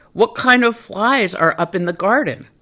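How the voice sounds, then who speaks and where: High-pitched, moderately paced put-on character voice from a man. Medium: read story.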